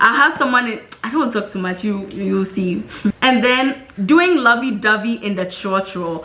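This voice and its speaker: A woman speaks with a Ghanaian accent in a fairly high, animated voice. Background noise is noticeable. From Ghana, Tema. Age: 20s. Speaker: vlogger. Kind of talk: casual vlog talk.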